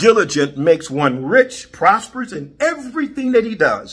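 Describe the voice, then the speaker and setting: His pitch swings very widely. The man's tone is bright and sharp. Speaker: preacher. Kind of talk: sermon. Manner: animated, call-and-response preaching; exhorting, repeating praise phrases.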